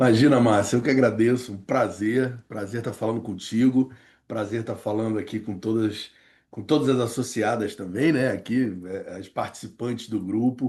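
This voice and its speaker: A man speaks in a Rio de Janeiro accent at medium pitch and a moderate pace. His intonation stays fairly even against a quiet background. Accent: carioca. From Rio de Janeiro, Brazil. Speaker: professor and negotiation consultant. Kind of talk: interview. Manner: halting, many fillers and repetitions.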